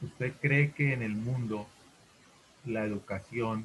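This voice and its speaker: A man speaks at a medium pitch and a fairly slow pace. His pitch varies in an ordinary way. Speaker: teacher. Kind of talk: online class discussion.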